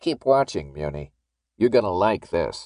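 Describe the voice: In a put-on character voice, a man speaks fairly slowly at a low pitch with big pitch swings and a slightly mellow tone, on a very clean recording with a silent background.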